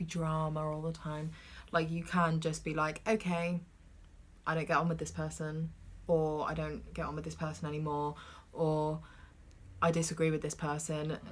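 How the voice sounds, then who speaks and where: With a British accent, a woman speaks at a moderate pace in a very deep, low pitch, leaving long, frequent pauses. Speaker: podcast co-host. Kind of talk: casual chat. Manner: loud.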